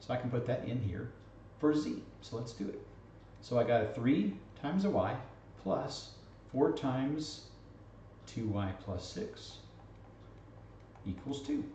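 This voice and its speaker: A man talks at a fairly slow pace, with long, frequent pauses, audible room echo and light background noise. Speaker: math teacher. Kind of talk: lecture.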